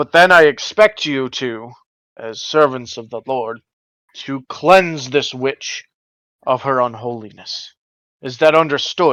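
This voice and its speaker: In a put-on character voice, a man speaks at a medium pitch and a fairly slow pace with long, frequent pauses. His loudness swings widely, and the sound is dry and close with no echo. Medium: actual play. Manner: gruff, authoritative.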